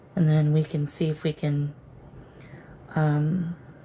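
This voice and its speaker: A woman speaks in a very deep, low voice that is somewhat breathy. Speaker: psychic medium livestream host. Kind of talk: live stream spirit communication. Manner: slow; slurred, disoriented.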